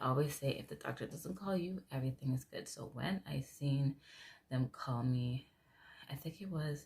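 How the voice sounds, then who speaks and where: Soft-spoken and somewhat breathy, a woman talks at a moderate pace in a very deep, low pitch. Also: ordinary pitch variation. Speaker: vlogger. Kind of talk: casual vlog talk.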